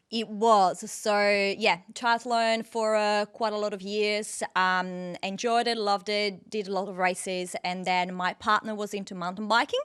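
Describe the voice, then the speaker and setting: A woman with an Italian accent speaks at a fairly slow pace with hardly any pauses, in a medium pitch with monotone, flat intonation, on a very clean recording with a silent background. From northern Italy, near Venice. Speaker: dietitian and off-road triathlete. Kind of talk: casual interview.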